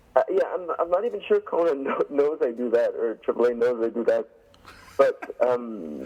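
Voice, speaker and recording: Here a man speaks in a Quebec accent. He keeps a moderate pace. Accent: French Canadian accent in English. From Quebec, Canada. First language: French. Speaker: pro wrestler. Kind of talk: interview.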